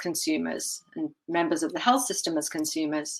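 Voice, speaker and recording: Speaking with a slight British accent, a woman keeps a moderate pace. Her pitch is fairly low and her intonation lively. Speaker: patient safety advocate, communications strategist. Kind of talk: conference presentation.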